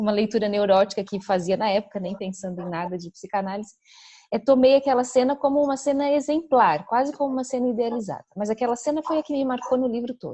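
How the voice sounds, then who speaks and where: Talking at a very fast pace, a woman with a fairly high pitch and a dark, mellow tone uses lively intonation and big swings in loudness. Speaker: psychoanalyst. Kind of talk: conference Q&A discussion. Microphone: audio dropping out, poor internet connection.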